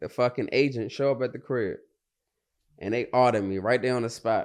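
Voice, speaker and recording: An ordinary speaking voice with an American accent, fairly quick in pace, with ordinary pitch variation over a quiet background. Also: man. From Washington DC. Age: 30s. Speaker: entrepreneur. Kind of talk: casual interview.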